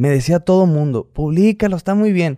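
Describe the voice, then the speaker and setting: Recorded very cleanly against a silent background, a man's dark, mellow voice sounds dry and close with no echo. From Hermosillo, Sonora, northern Mexico. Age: 30s. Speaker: YouTuber, businessman. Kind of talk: casual interview chat.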